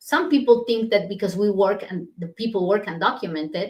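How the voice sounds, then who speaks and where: Somewhat breathy and fairly quick, a woman at a medium pitch talks with a strong non-native accent. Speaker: immigration lawyer. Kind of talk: live stream Q&A. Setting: livestream. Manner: hesitant, many fillers.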